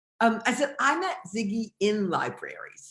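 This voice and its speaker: With a bright, sharp tone, the woman talks in an American accent. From US Midwest, Detroit. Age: 60s. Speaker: novelist. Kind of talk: live video conversation.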